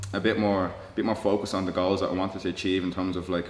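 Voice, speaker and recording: A man's very deep, low voice, monotone and flat, at a very fast pace, with audible room echo and noticeable background noise. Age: 20s. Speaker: mixed martial artist. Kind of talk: interview. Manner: halting, with many fillers and repeated words.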